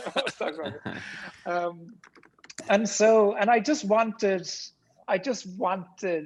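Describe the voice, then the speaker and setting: A man with an Irish accent, at a fairly slow pace. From rural Ireland. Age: 50s. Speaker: tech entrepreneur. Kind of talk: podcast interview.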